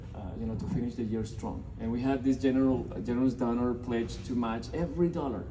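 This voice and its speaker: Audible room echo around a man's medium-pitched voice with a Colombian accent and ordinary pitch variation. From Colombia (Bogota). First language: Spanish. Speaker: nonprofit representative. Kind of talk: speech to a business audience. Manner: halting, many fillers and repeated words.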